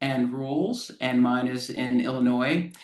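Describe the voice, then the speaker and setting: The pace here is very slow. An American accent comes through. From US Southeast, Florida. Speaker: lawyer, data privacy consultant. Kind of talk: self-introduction in online class.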